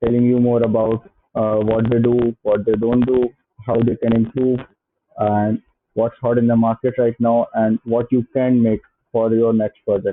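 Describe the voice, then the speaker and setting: This man has an Indian accent and a medium pitch. He keeps a moderate pace in a monotone, flat intonation. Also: very even loudness. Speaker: software entrepreneur. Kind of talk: channel intro to camera. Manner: hesitant, many filler sounds.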